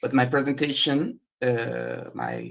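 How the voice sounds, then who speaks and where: At a very slow pace, a man speaks with a Portuguese accent. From Brazil. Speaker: researcher. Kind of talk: conference presentation.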